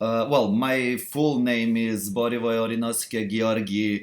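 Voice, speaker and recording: With a non-native accent, a man speaks fairly slowly at a medium pitch. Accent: foreign. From Serbia. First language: not English. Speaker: cosplayer. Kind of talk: live stream chat. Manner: halting.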